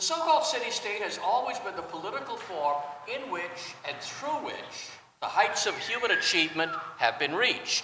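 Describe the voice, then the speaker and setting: A man speaks at a moderate pace in an extremely high pitch with very wide pitch swings. Noticeable background noise and audible room echo are present. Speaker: journalist and classical scholar. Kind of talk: panel talk. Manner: rhetorical, emphatic.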